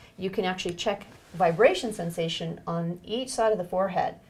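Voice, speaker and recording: A woman's ordinary speaking voice at medium pitch and a moderate pace. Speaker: neuro-ophthalmologist doctor. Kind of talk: clinical exam demonstration, instructional. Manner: calm, clear, gentle.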